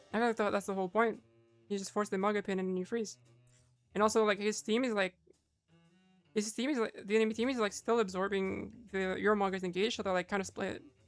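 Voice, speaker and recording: Music plays in the background as a woman talks at a very fast pace. She leaves long, frequent pauses. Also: medium pitch for a woman, fairly even intonation. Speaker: Overwatch coach. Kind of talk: gameplay vod review commentary. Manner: casual.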